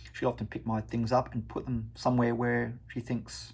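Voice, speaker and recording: With an Australian accent, a man talks fairly quickly in a medium pitch, with vocal fry. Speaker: wargaming hobbyist vlogger. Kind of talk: casual vlog talk. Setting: at home. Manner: halting.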